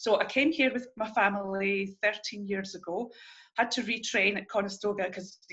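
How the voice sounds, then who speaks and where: Bright, sharp tone in a Scottish accent, at a moderate pace with ordinary pitch variation. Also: woman, medium pitch for a woman. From Scotland. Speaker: early childhood educator. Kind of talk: interview.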